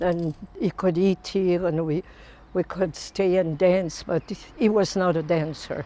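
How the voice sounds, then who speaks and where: At a fairly slow pace, a woman with a fairly low pitch and a dark, mellow tone speaks with fairly even intonation and very even loudness. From France. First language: French. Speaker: interviewee recounting life story. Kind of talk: oral history storytelling.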